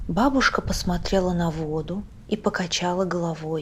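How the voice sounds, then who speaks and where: A woman speaks at a very slow pace in a calm tone. Her voice is somewhat breathy. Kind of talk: audiobook reading of a short story.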